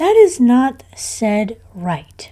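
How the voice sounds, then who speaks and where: A woman's put-on character voice, high in pitch with very wide pitch swings. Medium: read story. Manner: curt, contrary.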